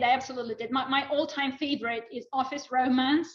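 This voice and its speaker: With a Russian accent, a woman speaks at a high pitch with ordinary pitch variation. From Russia, Moscow. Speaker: former Russian professional, spy couple guest. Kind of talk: casual chat.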